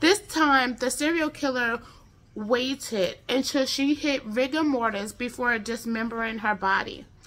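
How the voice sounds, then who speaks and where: An animated woman with an American accent and a high pitch speaks at a fairly slow pace with ordinary pitch variation. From United States. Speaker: true crime YouTuber. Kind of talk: true-crime narration, casual storytelling. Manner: conversational, informal, chatty; animated, with filler words. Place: home room. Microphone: phone near.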